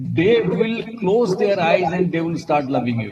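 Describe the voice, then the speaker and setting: Speaking at a fairly slow pace, a man with an Assamese accent has a high pitch. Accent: Indian English, Assamese. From India, Assam. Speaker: management professor. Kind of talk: interview. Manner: halting.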